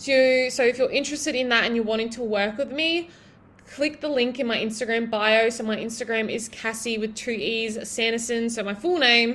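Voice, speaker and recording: A woman speaks at a very fast pace. Her pitch is fairly high, with fairly even intonation. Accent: Australian. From Australia, Broken Hill NSW. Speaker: podcast host and online fitness coach. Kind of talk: solo podcast monologue. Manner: casual, filler-heavy.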